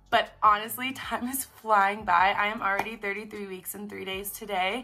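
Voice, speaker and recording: A woman with fairly even intonation and big swings in loudness, over noticeable background noise. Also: medium pitch for a woman, moderate pace. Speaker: vlogger. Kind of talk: casual vlog monologue.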